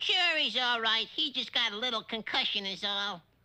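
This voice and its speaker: A cartoonish character voice, fairly high in pitch, moves at a moderate pace. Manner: brash, ungrammatical street talk.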